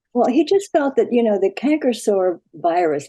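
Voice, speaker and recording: A woman talks at a moderate pace in a dark, mellow tone with lively intonation. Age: 80s+. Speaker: customer giving a testimonial. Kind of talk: interview.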